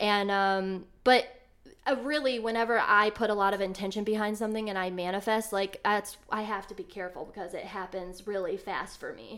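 Her loudness swinging widely, a woman with a Midwestern American accent talks at a fairly quick pace, at medium pitch and with fairly even intonation. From Ohio, Elyria near Cleveland. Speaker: metaphysical shop owner. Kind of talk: casual interview.

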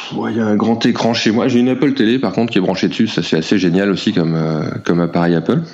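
A man's intonation rises and falls in a lively way while noticeable background noise carries on. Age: 40s. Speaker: comic book illustrator. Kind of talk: casual interview. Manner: halting.

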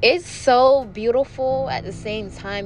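A woman speaks at a fairly slow pace in an animated tone. Noticeable background noise and audible room echo are present. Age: 20s. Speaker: podcast host, beauty influencer. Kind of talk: casual monologue. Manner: animated, chatty.

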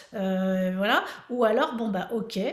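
A woman with a somewhat breathy voice. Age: 50s. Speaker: fitness coach. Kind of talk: casual chat.

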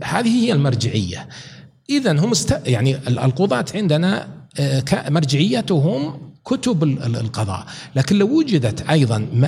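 A man's fairly high voice at a very slow pace, with very wide pitch swings, very even loudness and noticeable background noise. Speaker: professor and author. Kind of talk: podcast interview.

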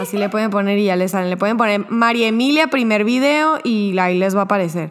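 A woman with an ordinary speaking voice, fairly high in pitch, with ordinary pitch variation. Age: 20s. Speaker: guest sharing personal testimony. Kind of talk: testimony.

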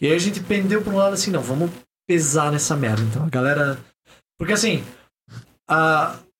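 With audible room echo, a man speaks at a fairly quick pace in a fairly high pitch. His intonation is lively, broken by long, frequent pauses. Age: 20s. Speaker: podcaster and singer. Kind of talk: casual chat.

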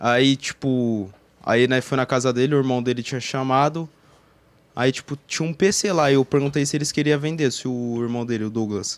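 On a very clean recording with a silent background, a man uses an ordinary speaking voice at medium pitch with ordinary pitch variation. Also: moderate pace. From Campinas, São Paulo state, Brazil. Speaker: online game roleplayer. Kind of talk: casual chat.

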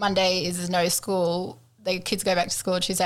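A woman speaks at a moderate pace with an Australian accent. Her pitch sits in the medium range. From Queensland, Australia. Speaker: podcast co-host. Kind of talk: casual chat.

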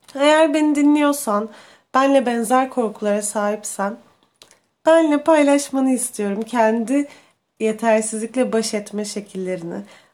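A woman in a normal speaking voice, fairly high in pitch with ordinary pitch variation, speaks at a fairly slow pace on a very clean recording with a silent background. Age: 20s. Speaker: podcast host. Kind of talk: personal monologue.

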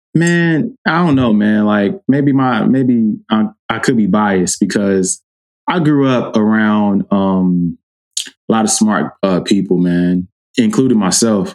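A very slow, very evenly loud delivery from a man with a fairly low voice and lively intonation. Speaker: podcast host. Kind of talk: casual chat.

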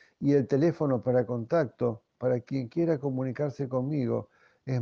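Dark, mellow tone from a man at a medium pitch. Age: 60s. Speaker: pastor. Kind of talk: devotional talk.

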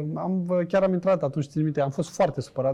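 A man speaks at a very fast pace. His tone is dark and mellow, and somewhat breathy. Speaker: former footballer and businessman. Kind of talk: casual interview chat.

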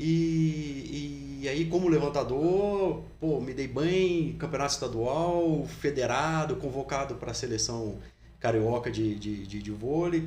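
Audible room echo surrounds a man speaking at a medium pitch in a somewhat breathy voice. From Brazil, Resende, Rio de Janeiro state. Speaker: fitness footwear company founder. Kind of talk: casual interview. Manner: hesitant, many repetitions.

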